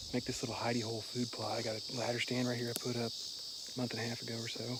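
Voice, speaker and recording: Someone talks at a very fast pace, with room echo audible and noticeable background noise. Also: man. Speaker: hunter and habitat manager. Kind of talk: outdoor vlog commentary. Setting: outdoors in the woods. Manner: casual, halting with fillers.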